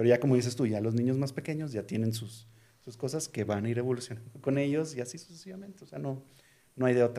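A dark, mellow tone at a very fast pace, with big swings in loudness and ordinary pitch variation. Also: man, medium pitch for a man. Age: 40s. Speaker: tech company CEO. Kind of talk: casual interview. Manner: halting, many repetitions.

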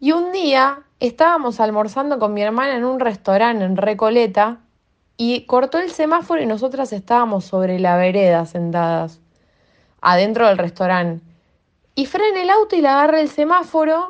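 Her pitch fairly high, a woman speaks at a moderate pace with very wide pitch swings. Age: 20s. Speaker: fan and political activist. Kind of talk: personal testimony.

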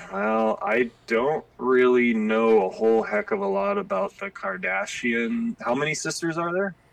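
A man at a medium pitch with very wide pitch swings, a fairly slow pace, hardly any pauses, and an American accent. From Spokane, Washington. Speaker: podcast guest, old school friend. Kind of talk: casual chat.

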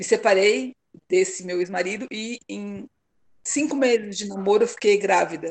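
At a moderate pace, a woman uses an ordinary speaking voice at a medium pitch, with ordinary pitch variation and big swings in loudness. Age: 50s. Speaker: mother sharing her story. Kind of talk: casual interview conversation.

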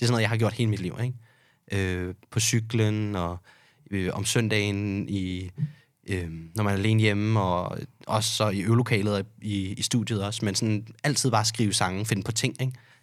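The man's voice is fairly low-pitched, with fairly even intonation at a moderate pace. It is a very clean recording with a silent background. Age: 20s. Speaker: bartender. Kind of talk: casual chat. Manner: hesitant, many fillers.

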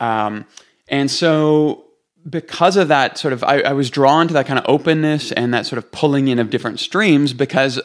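Here a man uses a plain, everyday voice at medium pitch. He keeps a moderate pace and ordinary pitch variation. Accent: Canadian. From Canada, Toronto. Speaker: pastor and author. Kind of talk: podcast interview.

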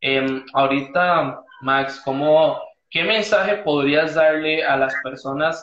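A man's voice, fairly high in pitch, with ordinary pitch variation. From Costa Rica. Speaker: podcast host. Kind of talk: casual interview. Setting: Instagram live video call.

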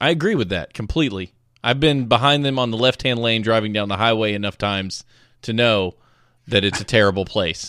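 With an American accent, a man speaks at a fairly quick pace in a medium pitch with ordinary variation. His tone is bright and sharp, and the recording is very clean with a silent background. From US South. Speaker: podcast host. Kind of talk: casual chat.

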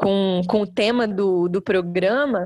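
Very slow female speech with typical pitch variation. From interior of Rio de Janeiro state, Brazil. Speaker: belly dance teacher. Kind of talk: casual chat.

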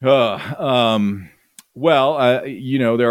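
The speaker is a man. He has an American accent. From US Midwest, northern Illinois (Chicago suburbs). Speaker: soccer advocate and historian. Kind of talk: interview.

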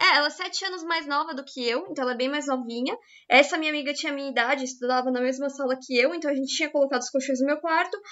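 Speaking very fast with hardly any pauses, a woman uses a high voice with ordinary pitch variation. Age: 20s. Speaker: podcast co-host. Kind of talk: casual chat.

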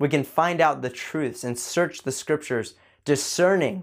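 Captured in a very clean recording with a silent background, a man speaks at a moderate pace with ordinary pitch variation. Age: 20s. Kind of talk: motivational faith talk.

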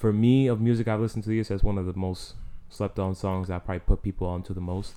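A man with a New York accent talks at a very fast pace in a dark, mellow tone with a fairly low pitch. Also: quiet background. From New York City, the Bronx. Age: 20s. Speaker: music and sports podcast co-host. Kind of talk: casual chat.

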